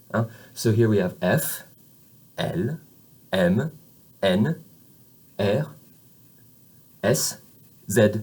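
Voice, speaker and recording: Lively intonation marks a man's somewhat breathy voice with an American accent. He speaks at a very slow pace, with long, frequent pauses. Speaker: French teacher. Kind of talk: lecture. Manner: halting, many fillers.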